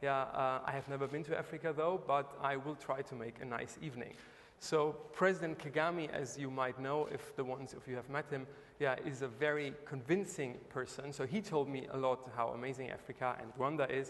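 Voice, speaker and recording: In a German accent, a man talks at a fairly quick pace with a fairly high pitch and fairly even intonation. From Germany. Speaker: investor, entrepreneur. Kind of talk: panel talk. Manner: hesitant, many fillers.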